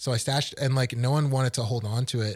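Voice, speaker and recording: A somewhat breathy man with fairly even intonation, on a very clean recording with a silent background. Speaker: student podcast co-host. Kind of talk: casual chat.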